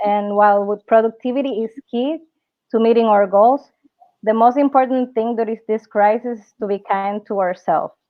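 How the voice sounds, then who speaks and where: Speaking at a moderate pace, a woman with a Spanish accent uses a fairly high pitch and fairly even intonation. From Dominican Republic. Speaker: entrepreneur and workshop speaker. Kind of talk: online workshop presentation. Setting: live webinar. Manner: halting, frequent fillers and self-corrections.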